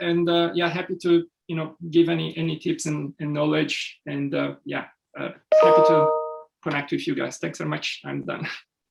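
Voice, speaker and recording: At a fairly quick pace, a man is speaking. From Brazil. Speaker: sustainability consultant. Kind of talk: networking meeting introduction. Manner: halting, many fillers.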